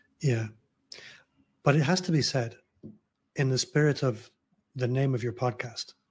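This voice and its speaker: Over a quiet background, a man of medium pitch speaks at a moderate pace, somewhat breathy, with ordinary pitch variation and long, frequent pauses. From Scotland, Glasgow. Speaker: personal branding consultant; podcast guest. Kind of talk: casual interview conversation. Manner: easygoing. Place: home room.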